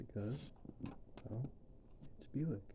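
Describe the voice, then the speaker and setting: A soft-spoken, somewhat breathy man's voice with a dark, mellow tone, medium pitch and ordinary pitch variation, at a fairly slow pace. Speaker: ASMR creator, car enthusiast. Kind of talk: soft-spoken ASMR tutorial.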